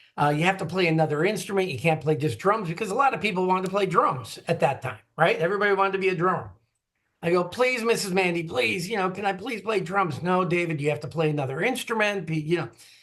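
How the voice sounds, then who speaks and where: In an American accent, a man speaks at a very fast pace. His voice is high-pitched, with ordinary pitch variation. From US Midwest, Green Bay, Wisconsin. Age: 60s. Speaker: drummer and retired music industry marketer. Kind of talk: interview conversation.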